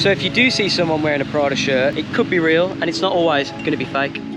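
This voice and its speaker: Fairly high-pitched male speech at a very fast pace, with ordinary pitch variation, noticeable background noise and audible room echo. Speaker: travel vlogger. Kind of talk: walking vlog monologue. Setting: outdoors.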